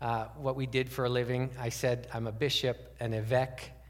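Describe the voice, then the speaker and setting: The voice sounds somewhat breathy. It moves at a fairly quick pace. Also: man. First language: French. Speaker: pastor. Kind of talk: sermon.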